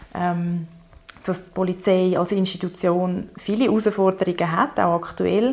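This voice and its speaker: A woman with a normal speaking voice, a medium pitch, fairly even intonation, and a fairly slow pace. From Zurich, Switzerland. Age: 30s. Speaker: lawyer in training and queer activist. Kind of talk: casual interview conversation.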